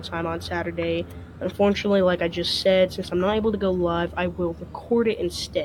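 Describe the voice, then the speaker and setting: Music plays in the background. Over it, a woman is speaking. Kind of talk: casual talk to camera.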